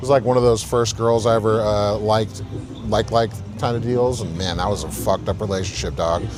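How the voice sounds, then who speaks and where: A man with a fairly low pitch speaks at a fairly quick pace while music plays in the background. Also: ordinary pitch variation. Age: 30s. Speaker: bouncer livestreamer. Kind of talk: casual live stream chat.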